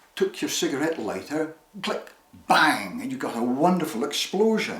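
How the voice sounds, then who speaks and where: A man with a Shetland accent talks at a fairly slow pace and a fairly high pitch. His pitch swings very widely. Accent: Shetland Scottish. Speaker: storyteller. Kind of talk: personal storytelling. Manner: animated.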